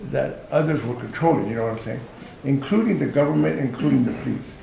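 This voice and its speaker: Audible room echo and noticeable background noise are present. Through them, a man talks at a medium pitch. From Los Angeles, US. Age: 60s. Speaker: author and prison outreach worker. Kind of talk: informal talk to outreach workers.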